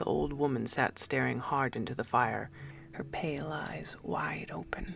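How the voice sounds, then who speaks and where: Whispering at a fairly slow pace. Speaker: amateur audiobook narrator. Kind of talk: short story reading.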